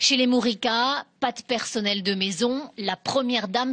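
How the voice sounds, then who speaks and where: With an ordinary speaking voice, a woman talks at a fairly high pitch with ordinary pitch variation, and the sound is dry and close with no echo. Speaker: TV reporter. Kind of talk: TV news report narration.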